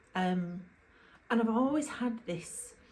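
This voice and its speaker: A woman speaks with a Yorkshire accent. There is audible room echo and noticeable background noise. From Yorkshire, England. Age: 50s. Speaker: YouTuber. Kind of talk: casual vlog talk to camera. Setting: at home, to camera, drinking wine. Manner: chatty, informal.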